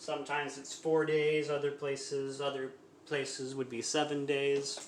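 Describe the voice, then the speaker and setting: Through audible room echo and noticeable background noise, a man speaks in a monotone with flat intonation. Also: fairly high pitch for a man, moderate pace. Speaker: home cooking streamer. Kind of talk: cooking tutorial livestream. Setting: live stream at home kitchen. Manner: halting, stumbling over words.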